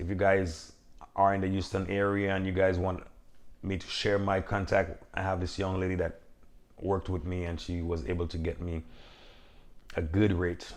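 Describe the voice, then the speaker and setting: Speaking with a Caribbean accent, a man delivers his words at a moderate pace in a very deep, low pitch. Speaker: box truck business owner, vlogger. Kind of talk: casual Q&A vlog talk.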